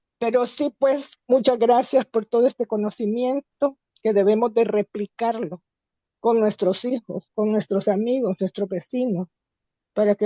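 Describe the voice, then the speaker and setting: A dark, mellow tone with fairly even intonation and a dry, close sound with no echo. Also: woman. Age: 70s. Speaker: course participant. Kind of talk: online seminar comment.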